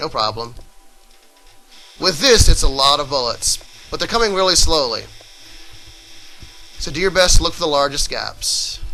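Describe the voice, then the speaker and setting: A man talks with long, frequent pauses while music plays in the background. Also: moderate pace. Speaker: video game let's play commentator. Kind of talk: gameplay tutorial commentary.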